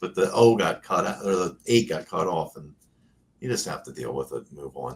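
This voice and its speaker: A man's very deep, low pitch with vocal fry, lively intonation, big swings in loudness and a moderate pace, with an American accent. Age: 50s. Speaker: classic car YouTuber. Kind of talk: casual chat. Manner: halting, many fillers.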